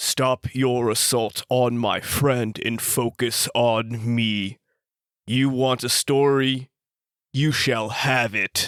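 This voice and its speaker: A man's put-on character voice, very slow and monotone with flat intonation, in a dry, close sound with no echo. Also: medium pitch for a man. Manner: raised, commanding, provoking.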